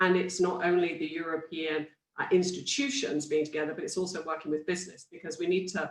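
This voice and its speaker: A woman speaks with a British accent. Her pitch is fairly low. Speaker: industry panelist. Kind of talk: panel discussion. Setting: virtual conference.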